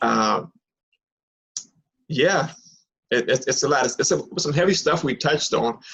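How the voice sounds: A man with a medium pitch and a fairly bright tone speaks at a fairly slow pace with lively intonation, vocal fry and a slightly husky edge.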